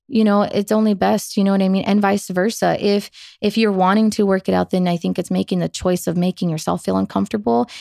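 In an American accent, a woman with a medium pitch talks at a fairly quick pace, recorded very cleanly against a silent background with a dry, close sound and no echo. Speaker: singer, writer and podcaster. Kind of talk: casual chat.

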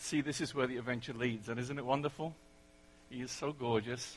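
Fairly quick and fairly even in intonation, with a bright, sharp tone. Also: man. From England. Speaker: preacher. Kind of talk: sermon. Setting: church.

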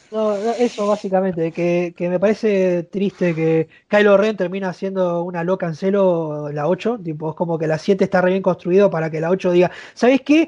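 The speaker has a Rioplatense accent, a dark, mellow tone and fairly even intonation at a moderate pace. The sound is dry and close with no echo, against a quiet background. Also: man, high pitch for a man. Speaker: YouTuber and university student. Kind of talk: casual chat.

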